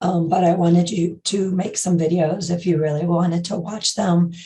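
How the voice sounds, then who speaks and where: Somewhat breathy and dark, mellow in tone, a woman's fairly low voice moves at a moderate pace with fairly even intonation amid audible room echo. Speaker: college instructor. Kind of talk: lecture. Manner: halting.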